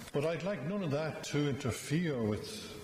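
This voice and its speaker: A man speaks at a fairly slow pace with audible room echo and light background noise. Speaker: priest. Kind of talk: funeral homily. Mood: gentle, solemn, warm. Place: church. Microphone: podium.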